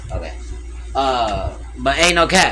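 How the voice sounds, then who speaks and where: A man talks with audible room echo and music in the background. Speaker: streamer reacting to videos. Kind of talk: casual livestream commentary. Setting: livestream at home with TV audio. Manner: loud.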